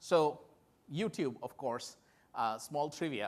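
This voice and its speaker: A man with a Bengali accent, lively intonation and a fairly slow pace. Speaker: tech company executive. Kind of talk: conference keynote talk.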